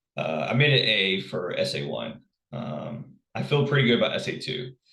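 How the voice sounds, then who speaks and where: A man's voice with vocal fry. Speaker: college instructor. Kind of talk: recorded lecture. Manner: halting, many fillers and repeats.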